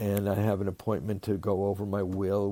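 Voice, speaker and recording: Fairly low, dark and mellow male speech at a moderate pace, with monotone, flat intonation, in a very clean recording with a silent background. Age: 70s. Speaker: rabbi and psychotherapist. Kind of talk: interview. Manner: halting, many repeated words.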